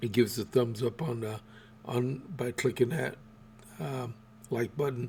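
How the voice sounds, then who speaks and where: A man with an American accent speaks at a medium pitch and a fairly slow pace. His voice is somewhat breathy, with fairly even intonation. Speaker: podcast host. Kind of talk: solo political podcast. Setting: home studio. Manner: halting, many fillers.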